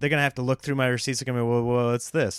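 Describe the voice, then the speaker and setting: An animated man is captured on a very clean recording with a silent background, the sound dry and close with no echo. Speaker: stand-up comedian hosting own podcast. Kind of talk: casual solo monologue. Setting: home recording setup. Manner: staccato delivery.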